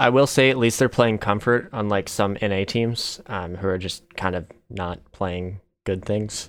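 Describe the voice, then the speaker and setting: In a very clean recording with a silent background, a man with a fairly low pitch and a normal speaking voice talks at a fairly slow pace. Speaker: podcast co-host, esports analyst. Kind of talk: casual chat.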